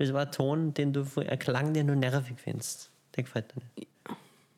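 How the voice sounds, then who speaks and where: A man mumbles at a moderate pace. His pitch is fairly high. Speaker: podcast co-host. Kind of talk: casual chat. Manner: mumbling.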